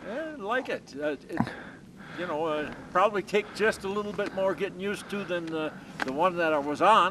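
A man with a high pitch and lively intonation speaks over light background noise. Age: 70s. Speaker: ski biker. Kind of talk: interview answer. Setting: outdoors. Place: open country. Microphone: camera far.

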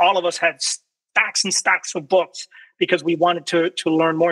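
A man with an American accent speaks at a high pitch in a bright, sharp tone. The background is quiet. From Florida, Cuban American family. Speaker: military veteran and researcher. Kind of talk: presentation. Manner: halting, with many fillers and repetitions. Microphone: video call.

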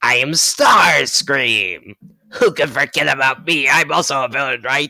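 A put-on, raspy character voice at low-to-middle pitch and a moderate pace. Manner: boastful, villainous.

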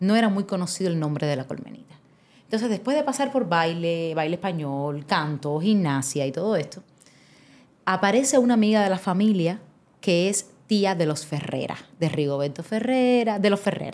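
With lively intonation, a woman with an ordinary speaking voice talks at a moderate pace and a medium pitch. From Cuba, Havana. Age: 30s. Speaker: actress and theatre creator. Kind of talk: casual interview chat.

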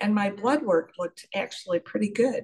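Against a quiet background, a woman with a fairly high pitch speaks at a moderate pace in a somewhat breathy voice. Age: 70s. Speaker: pharmacist. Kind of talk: testimony. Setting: video call. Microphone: video call.

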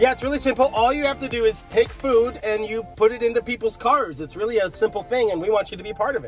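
The speaker goes at a very fast pace with hardly any pauses and ordinary pitch variation, in a dry sound with no echo and faint music in the background. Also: man, high pitch for a man. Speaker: youth pastor. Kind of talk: casual vlog chat. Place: car. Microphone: phone near.

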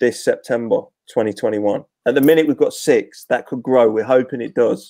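A man's medium-pitched voice with an East Midlands accent, dark and mellow in tone, ordinary pitch variation, dry with no echo, against a quiet background. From Leicester, England; England. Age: 40s. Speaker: former professional footballer; guest. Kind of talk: casual chat. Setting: video call. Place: home room.

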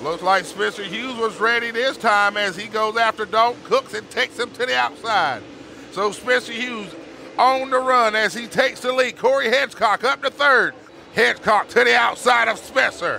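With music in the background, a man speaks in a raised, projected voice pitched high. His pace is moderate and his pitch varies in an ordinary way. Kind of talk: live race commentary.

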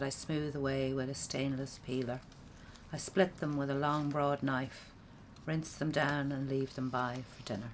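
A woman with an Irish accent, a very deep, low pitch, fairly even intonation and a relaxed tone, at a fairly slow pace over light background noise. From Ireland. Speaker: poet. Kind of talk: poetry performance. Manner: relaxed, wry, humorous delivery. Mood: calm, reflective.

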